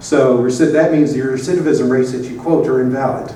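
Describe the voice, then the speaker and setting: Over noticeable background noise and audible room echo, a man with an American accent speaks at a moderate pace. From US South. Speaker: advocate and presenter. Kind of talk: conference presentation. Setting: conference room with audience. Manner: casual, hesitant with many fillers.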